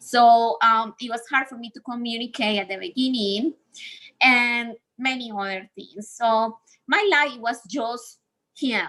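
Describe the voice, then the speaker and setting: This woman has a high pitch and a bright, sharp tone. She speaks at a fairly slow pace with ordinary pitch variation. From Colombia. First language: Spanish. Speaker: speaker on healing from abusive relationships. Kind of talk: talk in a livestreamed session.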